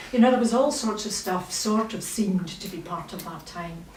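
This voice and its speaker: Noticeable background noise and audible room echo surround a woman of medium pitch. She speaks at a fairly quick pace with a Scottish accent. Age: 60s. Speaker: novelist. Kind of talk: literary festival conversation. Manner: animated.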